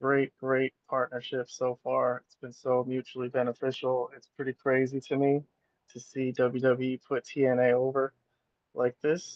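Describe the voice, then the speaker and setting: A man talks quietly at a medium pitch and a moderate pace. His intonation is monotone and flat, though his loudness swings widely. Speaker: wrestling fan streamer. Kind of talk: casual live stream commentary. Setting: at work, live streaming from phone. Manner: quiet, low volume. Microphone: cell phone.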